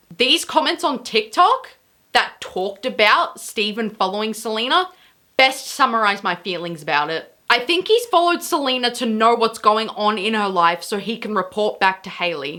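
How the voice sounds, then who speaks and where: A loud voice with a bright, sharp tone, very wide pitch swings and a moderate pace. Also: woman. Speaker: YouTube commentary creator. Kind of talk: commentary vlog. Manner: quieter than usual.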